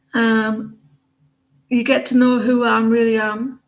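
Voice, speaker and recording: Very clean recording with a silent background, a woman in an English accent at a fairly high pitch, monotone, flat intonation and a very slow pace. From England. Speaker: tarot reader. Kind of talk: casual chat. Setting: live stream. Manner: halting.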